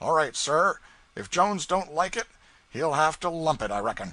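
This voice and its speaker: A man uses a put-on character voice that is raspy and fairly high-pitched. His pitch swings very widely at a moderate pace. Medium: read story. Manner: folksy, offhand.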